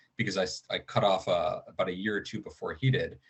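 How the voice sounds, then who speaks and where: A man's fairly low pitch, fairly quick pace and ordinary pitch variation. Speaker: conference speaker. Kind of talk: presentation. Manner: fast; hesitant, many fillers.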